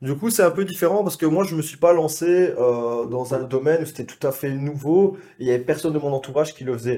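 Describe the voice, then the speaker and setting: In a Belgian accent, a man with a fairly high pitch and a dark, mellow tone talks at a very fast pace with hardly any pauses and ordinary pitch variation, on a very clean recording with a silent background. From Belgium. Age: 20s. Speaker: sales closer, business associate. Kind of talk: casual chat.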